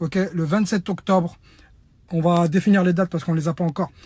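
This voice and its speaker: This man is loud and has a high pitch. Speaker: humanitarian activist. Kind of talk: online video appeal.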